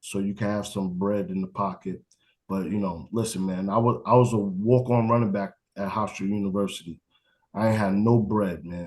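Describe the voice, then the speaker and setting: A man with a plain, everyday voice speaks at a moderate pace and fairly low pitch. His intonation is fairly even, and the background is quiet. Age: 40s. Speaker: college football coach. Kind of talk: interview. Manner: casual.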